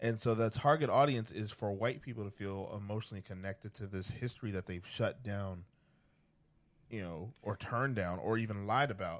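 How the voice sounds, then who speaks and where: Against a quiet background, a man with an American accent speaks in an ordinary speaking voice at a fairly low pitch and a fairly quick pace, with ordinary pitch variation. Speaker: podcast co-host. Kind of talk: casual banter discussion.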